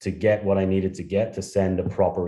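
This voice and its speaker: A man in a strong Irish accent, dark and mellow in tone, with monotone, flat intonation and a quiet background. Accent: thick Irish. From Ireland. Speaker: startup founder. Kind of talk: interview.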